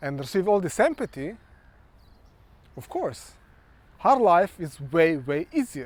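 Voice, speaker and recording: In a Ukrainian accent, a man with a high pitch makes very wide pitch swings and takes long, frequent pauses. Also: fairly slow pace, big swings in loudness. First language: Ukrainian or Russian. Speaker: social worker and vlogger. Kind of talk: monologue vlog. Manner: halting.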